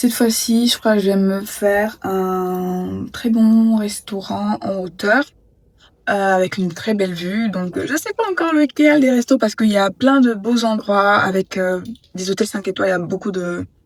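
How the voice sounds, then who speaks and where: Medium-pitched female voice at a fairly slow pace with ordinary pitch variation. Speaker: travel vlogger. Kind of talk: casual vlog talk to camera. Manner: hesitant, many fillers.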